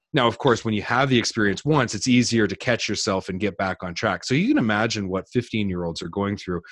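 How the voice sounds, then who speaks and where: A man with a Canadian accent speaks in an unremarkable speaking voice, fairly low in pitch with ordinary pitch variation, recorded dry and close with no echo against a quiet background. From New Brunswick, Canada. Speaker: business coach. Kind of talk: interview.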